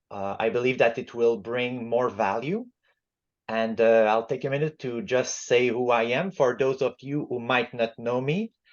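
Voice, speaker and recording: A man speaks at a moderate pace with a Quebec accent, his medium pitch moving with ordinary variation. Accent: Quebec French-Canadian. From Quebec, Montreal. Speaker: book club facilitator, appliance repair business owner. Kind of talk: book club discussion. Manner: halting, many fillers.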